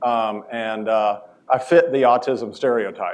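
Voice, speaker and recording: An ordinary speaking voice from a man in an American accent, medium in pitch, with fairly even intonation. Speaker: professor. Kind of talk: lecture.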